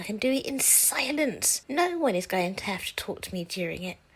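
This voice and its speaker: Soft-spoken, a woman talks at a moderate pace with a fairly high pitch and very wide pitch swings. Noticeable background noise runs underneath. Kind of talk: personal explainer monologue. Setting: home recording area, silent. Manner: soft-spoken, very quiet; calm, never raised. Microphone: volume boosted in editing because she talks quietly.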